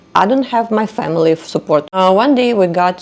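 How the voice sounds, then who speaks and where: In a Russian accent, a woman speaks at a medium pitch and a moderate pace, her pitch swinging very widely. Noticeable background noise sits behind her. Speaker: podcaster. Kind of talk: personal storytelling monologue. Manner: hesitant, with fillers.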